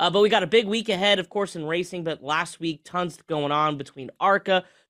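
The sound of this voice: A man speaks at a fairly high pitch with ordinary pitch variation. His tone is fairly bright and his pace fairly quick.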